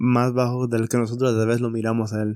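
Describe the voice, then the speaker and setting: A man's medium-pitched voice at a very fast pace in a monotone, flat intonation, with a dry, close sound with no echo and a very clean recording with a silent background. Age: 30s. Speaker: scripture study podcast co-host. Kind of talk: casual scripture discussion. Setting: recording at night at home.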